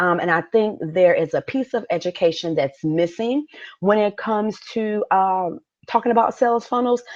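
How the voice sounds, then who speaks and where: A woman with a plain, everyday voice, a fairly high pitch and lively intonation speaks over a quiet background. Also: moderate pace. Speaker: business coach. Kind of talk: live webinar masterclass. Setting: live stream.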